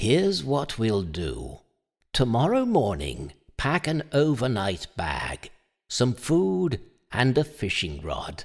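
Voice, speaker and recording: In a very clean recording with a silent background, a man uses a put-on character voice at a medium pitch and a fairly slow pace. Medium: audio drama. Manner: calm, measured.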